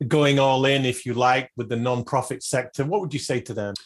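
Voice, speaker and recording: A man with a British accent speaks at a fairly quick pace with fairly even intonation against a quiet background. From UK. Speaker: podcast host. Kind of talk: interview; scripted tips segment.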